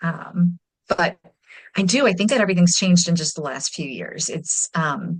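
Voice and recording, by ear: A woman with a fairly low pitch speaks at a moderate pace with lively intonation.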